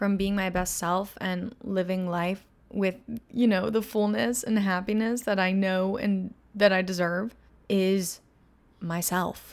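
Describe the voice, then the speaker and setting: A woman speaks at a medium pitch in a normal speaking voice, with fairly even intonation and a fairly slow pace. The recording is very clean, with a silent background. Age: 20s. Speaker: podcast host and influencer. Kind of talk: casual monologue. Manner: casual, rambling with fillers.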